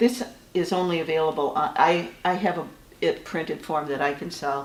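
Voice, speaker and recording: A woman's fairly low voice in an American accent, at a moderate pace with ordinary pitch variation and audible room echo. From Michigan. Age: 60s. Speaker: author. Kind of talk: interview. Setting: writers' conference. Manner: halting.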